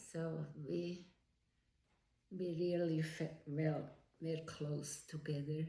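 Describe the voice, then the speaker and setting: At a very slow pace with long, frequent pauses, a woman speaks in a very deep, low pitch with a dark, mellow tone, somewhat breathy and in a monotone, flat intonation, with audible room echo. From Switzerland. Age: 90s. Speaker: elderly woman telling her life story. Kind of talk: life story interview. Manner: halting.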